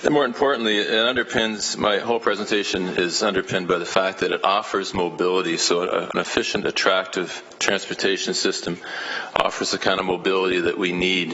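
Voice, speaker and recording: A Canadian accent with fairly even intonation, amid audible room echo and noticeable background noise. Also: man, fairly quick pace. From Canada, Hamilton, Ontario. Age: 60s. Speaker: elementary school teacher, public delegate. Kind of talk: public delegation speech at council meeting. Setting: city council meeting. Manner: hesitant, many fillers and repetitions.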